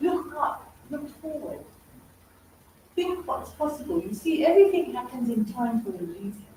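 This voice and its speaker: Amid noticeable background noise and audible room echo, a woman with a high voice speaks fairly slowly in an animated tone, her pitch swinging very widely between long, frequent pauses. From England. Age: 60s. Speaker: stress expert and TV and radio presenter. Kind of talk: motivational talk.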